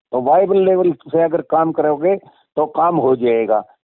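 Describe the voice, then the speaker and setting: A man talks with a high pitch. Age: 70s. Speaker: retired agricultural scientist. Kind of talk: interview. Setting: phone call.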